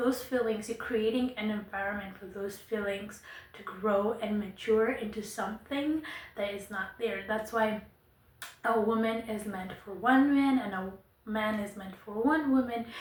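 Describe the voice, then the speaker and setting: A woman with a non-native accent speaks at a fairly slow pace in a fairly high pitch, her intonation fairly even. Her loudness swings widely, and the room echo is audible. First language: not English. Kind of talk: monologue to camera. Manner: casual, conversational.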